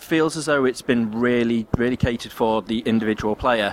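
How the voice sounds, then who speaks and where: Noticeable background noise runs under a man's voice. He talks at a fairly quick pace with ordinary pitch variation. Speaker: podcast co-host. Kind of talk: casual chat.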